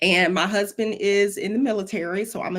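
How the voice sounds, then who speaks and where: A woman with a Southern US accent speaks at a moderate pace and medium pitch in a very clean recording with a silent background. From Florida, US South. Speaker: web developer and mentor, former educator. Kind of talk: interview. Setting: live stream.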